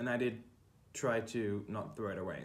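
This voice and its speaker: Someone with a German accent talks at a moderate pace with ordinary pitch variation. Room echo is audible in the recording. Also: man. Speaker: quilting YouTuber. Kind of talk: tutorial. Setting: kitchen. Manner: halting, many fillers. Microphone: poor room acoustics.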